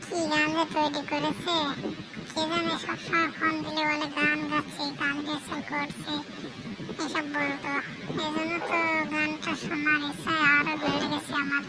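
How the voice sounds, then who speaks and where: A cartoonish character voice at a moderate pace over loud background noise. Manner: grumbling.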